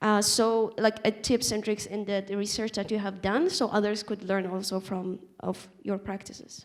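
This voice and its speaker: A woman with a non-native accent at a medium pitch and moderate pace, her intonation fairly even, in a very clean recording with a silent background. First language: not English. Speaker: refugee panelist. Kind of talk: panel discussion. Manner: halting.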